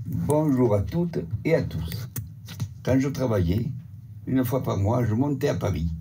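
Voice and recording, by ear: A man with a southern French accent and a dark, mellow medium-pitched voice speaks at a fairly slow pace with lively intonation, with audible room echo.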